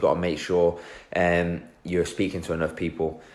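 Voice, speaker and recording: Here is a man with an English accent. He speaks at a moderate pace. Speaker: personal trainer and fitness business coach. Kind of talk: live stream talk. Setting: Facebook live video. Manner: casual, filler-heavy.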